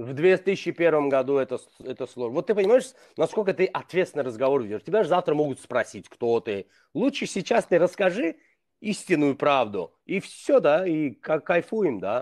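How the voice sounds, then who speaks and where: Over a quiet background, a fairly high-pitched man speaks at a moderate pace with very wide pitch swings. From Azerbaijan. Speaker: blogger. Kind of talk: casual chat. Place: home room. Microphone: video call.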